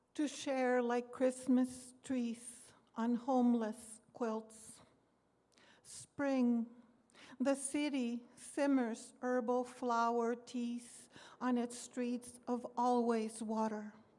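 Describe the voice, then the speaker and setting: A woman with a high pitch and a dark, mellow tone speaks very slowly in a monotone, flat way, leaving long, frequent pauses. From US, born here (Seattle area, Spanish-speaking home). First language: Spanish. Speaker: poet. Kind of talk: poetry reading; casual talk to audience.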